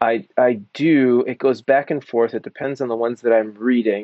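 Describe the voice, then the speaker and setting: At a moderate pace, a man with an American accent talks in a normal speaking voice at medium pitch. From Philadelphia area, US Northeast. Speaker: Old Testament professor. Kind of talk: interview.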